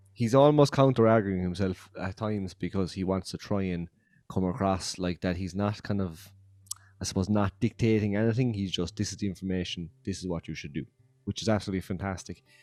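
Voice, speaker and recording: Speaking at a fairly quick pace with an Irish accent, a man uses a fairly low pitch and ordinary pitch variation. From Ireland. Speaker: podcast host. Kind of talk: casual chat. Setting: video podcast recording. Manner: animated.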